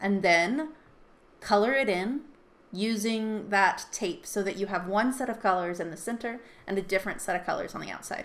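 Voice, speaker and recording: A woman with an ordinary speaking voice talks at a moderate pace and a medium pitch, with ordinary pitch variation. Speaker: artist and art teacher. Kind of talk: tutorial.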